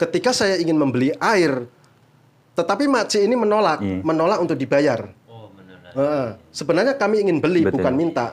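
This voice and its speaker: A man's fairly high voice, very fast, with very wide pitch swings and big swings in loudness. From Indonesia. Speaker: migrant worker and YouTuber; YouTuber. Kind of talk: casual interview.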